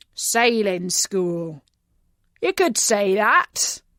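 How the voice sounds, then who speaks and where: Putting on a character voice, a woman growls in a raspy, fairly high-pitched tone. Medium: read story. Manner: gruff, curt.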